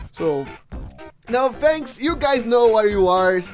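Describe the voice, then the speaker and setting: Faint music plays in the background. A man talks over it at a fairly slow pace. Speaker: vlogger. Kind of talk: casual vlog chat. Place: home room. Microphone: headset.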